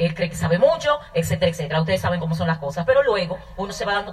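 There is noticeable background noise as a woman speaks. Her pitch is fairly low and her pace very fast. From Dominican Republic, north (Manzanillo). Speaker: network marketing business owner. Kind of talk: testimony.

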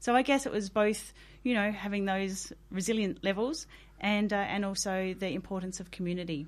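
This woman has an Australian accent and a medium pitch. She talks at a moderate pace. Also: ordinary pitch variation. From South Australia outback. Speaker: workplace well-being consultant. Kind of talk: interview. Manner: hesitant, many fillers.

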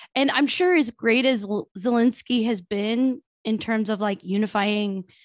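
Over a quiet background and in a dry, close sound with no echo, a woman with an ordinary speaking voice talks at a fairly high pitch and fairly slow pace. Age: 30s. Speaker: podcast co-host. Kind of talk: casual chat.

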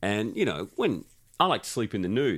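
A man speaks in an Australian accent with a playful tone and ordinary pitch variation. The recording is very clean, with a silent background. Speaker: podcast host. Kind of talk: casual banter interview. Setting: studio, sharing one mic. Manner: joking, playful.

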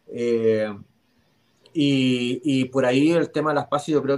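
A man's fairly high-pitched voice. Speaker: NFL fan panelist. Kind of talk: casual chat.

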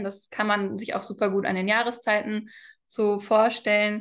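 Against a quiet background, a woman speaks at a moderate pace with a fairly high pitch. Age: 20s. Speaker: cycle health mentor. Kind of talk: interview.

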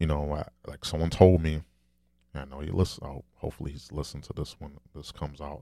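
Soft-spoken, a man talks at a fairly quick pace with an extremely low pitch, a dark, mellow tone, vocal fry and fairly even intonation. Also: very clean recording, silent background.

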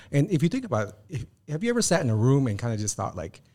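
Speaking very fast, a man uses a medium pitch with very wide pitch swings. His tone is dark and mellow, and somewhat breathy. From Filipino background. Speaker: podcast co-host. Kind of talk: casual chat.

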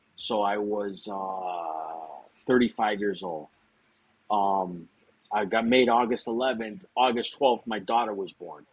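Speaking very slowly, a man with a western Massachusetts accent has a fairly low pitch. His pitch varies in an ordinary way. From Springfield, Massachusetts. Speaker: former mobster. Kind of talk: casual interview.

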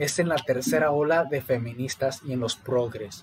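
Noticeable background noise sits behind a man talking at a moderate pace with ordinary pitch variation. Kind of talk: casual chat.

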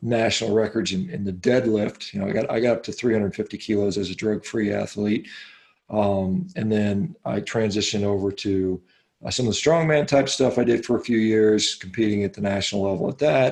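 Against a quiet background, a man with an unremarkable speaking voice and an American accent talks at a moderate pace, with a fairly low pitch and ordinary pitch variation. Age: 50s. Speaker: physician and athlete. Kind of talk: interview.

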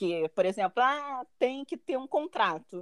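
Speaking at a fairly slow pace with a Brazilian accent, a woman uses lively intonation in a dry, close recording with no echo. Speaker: master's graduate living abroad. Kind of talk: interview.

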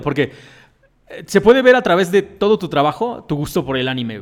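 A man's plain, everyday voice with lively intonation at a fairly quick pace. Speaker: podcast host. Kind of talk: casual chat.

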